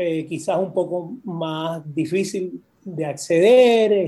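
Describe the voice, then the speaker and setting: A man's high-pitched voice with a dark, mellow tone and ordinary pitch variation, over a quiet background. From Puerto Rico. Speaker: poet and university professor. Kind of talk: casual interview.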